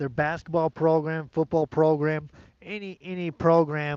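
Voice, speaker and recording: A man's fairly high, dark and mellow voice, flat and monotone, at a fairly slow pace against a quiet background. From United States. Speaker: sports channel streamer. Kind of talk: casual live-stream chat. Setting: outdoors. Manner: hesitant, many fillers and repetitions; loud.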